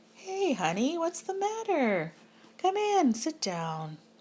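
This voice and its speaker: A woman puts on a squeaky character voice at an extremely high pitch, talking at a fairly slow pace. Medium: read story. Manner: soothing.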